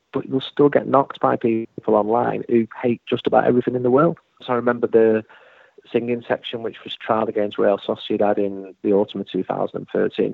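A man with a Mancunian accent, talking at a fairly quick pace. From Manchester, England. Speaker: football journalist. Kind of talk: interview.

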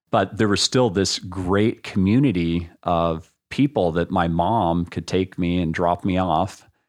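Against a quiet background, the speech has hardly any pauses and ordinary pitch variation. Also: man, very deep, low pitch for a man. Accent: American. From Texas, Austin. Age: 50s. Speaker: tech entrepreneur and investor. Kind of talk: interview conversation. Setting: at the guest's home.

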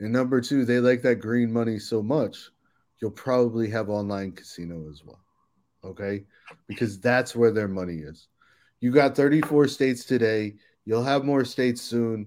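A man with an American accent and an unremarkable speaking voice talks at medium pitch and moderate pace, with ordinary pitch variation and big swings in loudness. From Silver Spring, Maryland, US. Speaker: marketing agency co-founder. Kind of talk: casual interview. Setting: hotel room, remote.

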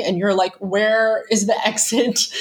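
A woman speaks at a medium pitch with an American accent. Noticeable background noise sits behind her. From US Pennsylvania. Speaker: travel writer and expat. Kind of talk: casual interview chat.

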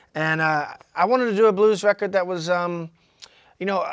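In a very clean recording with a silent background, a man with a Southern US accent speaks at a high pitch with ordinary pitch variation. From Georgia, US South. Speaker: blues musician. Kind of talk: casual interview. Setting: studio.

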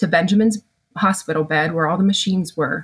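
A woman's medium-pitched, somewhat breathy voice with ordinary pitch variation. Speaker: family therapist. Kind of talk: candid interview conversation.

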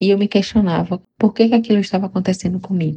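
A woman speaks with a dark, mellow, somewhat breathy tone. Her intonation is fairly even, and the sound is dry and close with no echo. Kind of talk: personal testimony interview.

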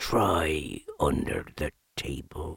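A put-on character voice alternates between whispering and growling. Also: man. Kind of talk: stage whisper, conspiratorial. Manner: loud whisper.

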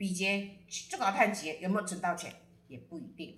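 A woman at medium pitch and moderate pace, amid noticeable background noise and audible room echo. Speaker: astrology guest sharing a friend's chart. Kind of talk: casual storytelling chat.

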